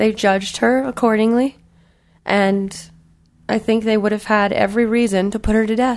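A woman's fairly high pitch at a moderate pace, with long, frequent pauses, monotone, flat intonation and very even loudness. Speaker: podcast co-host. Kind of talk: casual chat.

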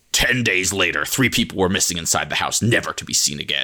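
A man uses a put-on character voice with a very deep, low pitch and a dramatic, serious tone. He talks at a very fast pace. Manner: dramatic, ominous, overly serious.

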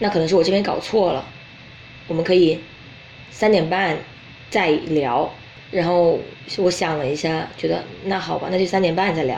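The woman leaves long, frequent pauses. Noticeable background noise and audible room echo fill the recording. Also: fairly low pitch for a woman, ordinary pitch variation, moderate pace. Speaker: podcast host. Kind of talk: casual chat.

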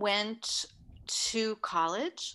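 In a very clean recording with a silent background, a woman with an American accent speaks very slowly in a fairly high voice with a bright, sharp tone. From New York City (Manhattan). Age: 60s. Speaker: bodywork therapist. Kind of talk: interview. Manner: calm.

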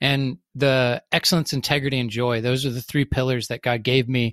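In a plain, everyday voice with an American accent, the speaker talks at a moderate pace. The recording is very clean with a silent background, giving a dry, close sound with no echo. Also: man. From US South. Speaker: business consultant. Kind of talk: interview conversation.

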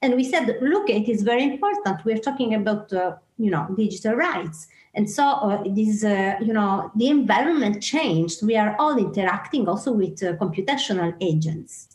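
Somewhat breathy and fairly high in pitch, a woman talks at a moderate pace with lively intonation, very even loudness and hardly any pauses. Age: 40s. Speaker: artist and writer. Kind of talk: interview. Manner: halting, laughs often.

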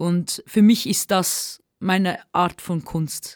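On a very clean recording with a silent background, a woman speaks at medium pitch in a dark, mellow tone with fairly even intonation. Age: 20s. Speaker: singer and rapper. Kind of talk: interview. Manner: halting.

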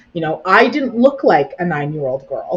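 A woman with a somewhat breathy, medium-pitched voice and a Canadian accent, at a moderate pace. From Brampton, Ontario, Canada. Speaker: nonprofit executive director. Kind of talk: interview conversation.

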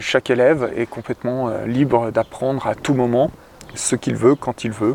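A man talks slowly-ish, at a fairly slow pace, with medium pitch and monotone, flat intonation. The sound is dry and close, with no echo. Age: 30s. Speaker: educator. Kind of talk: interview. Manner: hesitant, many fillers.

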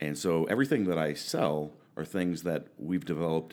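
On a very clean recording with a silent background, a man with an American accent speaks in a very deep, low pitch with vocal fry and ordinary pitch variation. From Oregon, US. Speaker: powerlifter and coach. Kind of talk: casual chat. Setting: studio.

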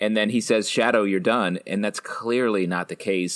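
A man talks at a moderate pace with a fairly low pitch. He has an ordinary speaking voice. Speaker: podcast co-host. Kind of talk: casual chat.

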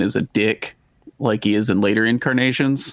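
Recorded with a dry, close sound and no echo, a man with a slight Texan accent talks in a fairly low pitch with fairly even intonation. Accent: slight Texan drawl. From Texas. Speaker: podcast host. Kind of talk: casual chat.

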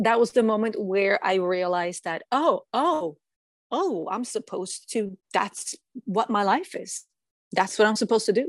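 A woman with a Norwegian accent speaks at a moderate pace, her pitch fairly high and her intonation lively. The sound is dry and close with no echo, over a quiet background. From Norway. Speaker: singer-songwriter and music producer. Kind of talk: interview.

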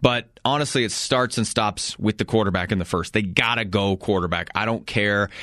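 A man's plain, everyday voice at a moderate pace. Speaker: radio sports talk host. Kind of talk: radio sports flash segment, brisk sponsor read-out of local beer and liquor store plugs. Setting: studio.

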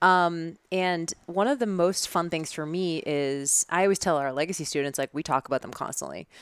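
This woman's fairly low voice has ordinary pitch variation and hardly any pauses. The sound is dry and close with no echo, on a very clean recording with a silent background. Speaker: fitness business coach. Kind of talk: casual chat. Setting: in person studio. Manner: fast.

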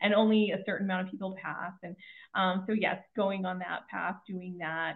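In a Western Canadian accent, a woman of medium pitch speaks with monotone, flat intonation. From Canada, Kelowna BC. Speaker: financial advisor and author. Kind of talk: interview.

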